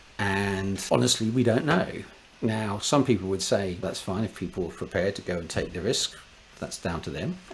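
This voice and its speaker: Noticeable background noise sits behind this man's voice. He talks at a fairly quick pace with a very deep, low pitch and lively intonation. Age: 60s. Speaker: space engineer. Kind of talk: casual chat.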